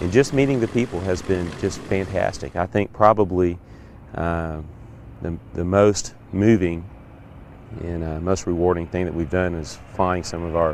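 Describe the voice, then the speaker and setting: A man talks at a fairly slow pace in a very deep, low pitch with ordinary pitch variation. Noticeable background noise can be heard. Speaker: B-25 pilot. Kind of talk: interview answer.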